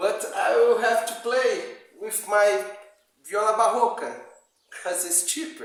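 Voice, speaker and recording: A man in a Brazilian Portuguese accent at a very slow pace, with audible room echo. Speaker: amateur guitar player. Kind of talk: video message to a musician. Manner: halting, many repetitions.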